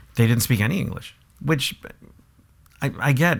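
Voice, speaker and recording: Speaking at a fairly quick pace, a man with a Spanish accent uses lively intonation and has vocal fry. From San Ysidro, San Diego, California. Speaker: actor and social media influencer. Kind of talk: casual interview chat. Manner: halting, many repeats.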